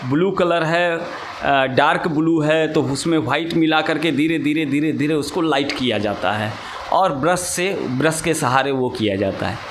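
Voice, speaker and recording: A man's voice with ordinary pitch variation against noticeable background noise. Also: hardly any pauses. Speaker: sitar teacher. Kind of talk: interview answer.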